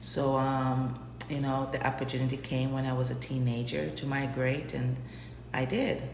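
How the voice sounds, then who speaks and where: With an American accent, a woman talks at a moderate pace in a very deep, low pitch and a monotone, flat intonation, amid noticeable background noise and audible room echo. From Jamaica, Kingston. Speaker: immigrant interviewee. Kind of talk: interview.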